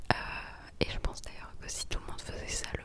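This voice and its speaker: Over noticeable background noise, a woman whispers in a relaxed tone. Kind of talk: whispered ASMR vlog to camera. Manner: whispered, soft-spoken, relaxed.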